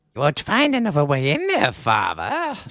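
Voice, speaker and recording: A man puts on a character voice, pitched high. He speaks at a moderate pace. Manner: creepy.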